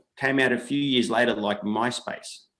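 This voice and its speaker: A man talks at a moderate speed in an Australian accent. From Australia, New South Wales. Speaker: entrepreneur. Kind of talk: interview.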